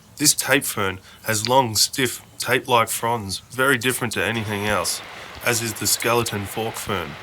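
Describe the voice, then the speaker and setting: This man speaks with an Australian accent at a moderate pace. His tone is bright and sharp. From Australia, Kuranda, Queensland. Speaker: orchid hunting video presenter. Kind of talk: scripted narration; field commentary. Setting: outdoors in rainforest. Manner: hesitant, many fillers.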